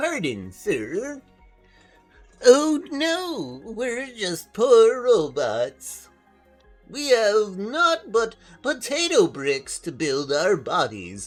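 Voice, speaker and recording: A put-on character voice at fairly high pitch, delivered very slowly over faint music in the background. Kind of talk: archaic, old-fashioned. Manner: pitiful, pleading.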